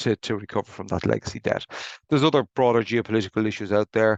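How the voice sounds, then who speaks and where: In an Irish accent, a man talks at a very fast pace with a fairly low pitch. His intonation is fairly even, and the background is quiet. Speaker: insolvency practitioner. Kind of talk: webinar presentation. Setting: video call. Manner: halting, with repetitions.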